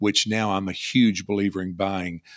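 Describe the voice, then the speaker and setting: A man with a Kentucky accent at a moderate pace, monotone and flat, the sound dry and close with no echo, the recording very clean with a silent background. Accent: Kentucky Southern US. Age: 50s. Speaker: online seller and insurance agent. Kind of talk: casual interview.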